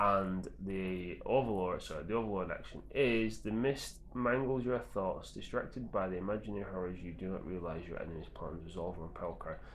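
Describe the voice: A man's low-pitched, fairly quick speech with few pauses and fairly even intonation, in audible room echo.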